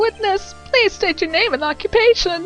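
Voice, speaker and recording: A woman puts on a squeaky character voice. Clear music plays in the background. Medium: game stream. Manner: smug, condescending.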